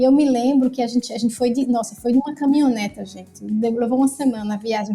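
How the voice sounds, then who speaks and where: A woman's high-pitched voice in a northeastern Brazilian accent, fairly quick and fairly even in intonation, with music in the background. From Brazil, Northeast. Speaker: activist and cook. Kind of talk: casual chat.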